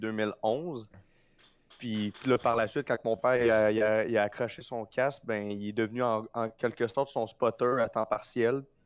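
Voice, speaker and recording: A man with an unremarkable speaking voice talks fairly slowly at medium pitch, keeping his intonation fairly even. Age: young. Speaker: race car driver. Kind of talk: interview.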